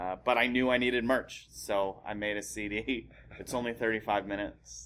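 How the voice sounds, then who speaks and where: At a moderate pace, a man with an unremarkable speaking voice talks in a fairly low pitch with fairly even intonation. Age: 30s. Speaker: stand-up comedian. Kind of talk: casual chat.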